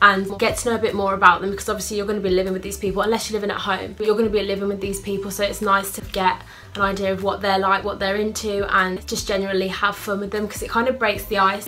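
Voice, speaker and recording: A woman talks at a very fast pace with hardly any pauses, in a monotone, flat intonation. Light background noise can be heard. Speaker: student vlogger. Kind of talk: casual vlog advice. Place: home room. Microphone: phone near.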